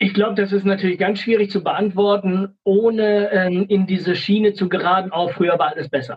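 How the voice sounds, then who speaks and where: A man with a high pitch talks at a fairly quick pace with hardly any pauses. His intonation stays fairly even. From Sauerland, Germany. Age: 40s. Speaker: social worker and former rapper. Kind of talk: casual interview.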